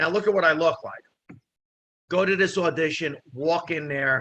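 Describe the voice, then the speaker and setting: A man with a New Jersey accent speaks at a moderate pace in a high, bright, sharp voice with ordinary pitch variation. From New Jersey, Italian immigrant family. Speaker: comedian and actor. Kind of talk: casual chat. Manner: animated.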